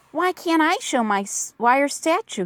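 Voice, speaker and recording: This woman uses a put-on character voice. Her pitch sits high. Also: moderate pace. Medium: read story. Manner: friendly, eager.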